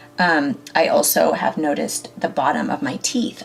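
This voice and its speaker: A woman's pitch swings very widely. Noticeable background noise is present. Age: 40s. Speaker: beauty vlogger. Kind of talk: makeup tutorial. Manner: casual, many fillers.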